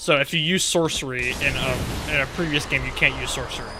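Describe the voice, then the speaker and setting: With noticeable background noise, a man talks at a very fast pace in a fairly high pitch with fairly even intonation. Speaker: gaming streamer. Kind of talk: casual live stream commentary.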